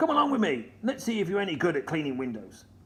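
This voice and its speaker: A man's put-on character voice, high-pitched, very fast, with very wide pitch swings. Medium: read story. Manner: blustering, loud.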